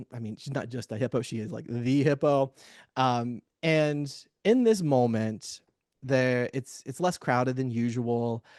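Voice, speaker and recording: An unremarkable speaking voice from a man, medium in pitch with ordinary pitch variation, at a fairly slow pace, dry and close with no echo over a quiet background. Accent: American. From US Midwest, Cincinnati, Ohio. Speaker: therapist and webinar panelist. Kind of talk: webinar presentation.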